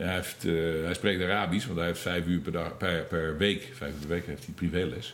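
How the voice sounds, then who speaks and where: At a moderate pace, a man with a very deep, low voice speaks with ordinary pitch variation and audible room echo. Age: 50s. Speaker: former emigrant. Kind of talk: interview. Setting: in person.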